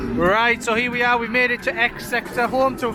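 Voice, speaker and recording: Over noticeable background noise, a man uses a raised, projected voice at an extremely high pitch with monotone, flat intonation. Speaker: vlogger for a coach trip operator. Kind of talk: travel vlog walkthrough. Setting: outdoors at a theme park. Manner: casual with many fillers; shouting.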